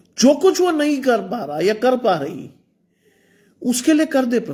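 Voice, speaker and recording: This man's voice is extremely high in pitch, with very wide swings, yet dark and mellow in tone. He talks at a fairly slow pace. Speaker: preacher. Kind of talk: sermon. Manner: animated.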